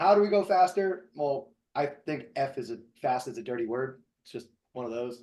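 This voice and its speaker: A man with an American accent speaks in a fairly high pitch with a dark, mellow tone. His intonation is lively, and his loudness swings widely. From New Jersey. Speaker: podcast host and shooting instructor. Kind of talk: casual podcast discussion. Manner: fast.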